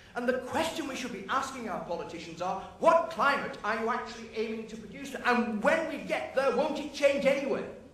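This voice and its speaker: A man with a British accent speaks at an extremely high pitch and a fairly quick pace with hardly any pauses, ordinary pitch variation, big swings in loudness and a passionate tone, amid audible room echo and noticeable background noise. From UK. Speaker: professor. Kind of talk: debate speech. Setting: stage with audience.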